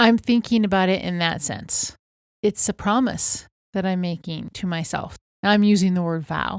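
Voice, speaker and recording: In a very clean recording with a silent background, a woman speaks at a medium pitch and moderate pace in a normal speaking voice, with ordinary pitch variation. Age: 60s. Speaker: podcast co-host. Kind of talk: casual chat.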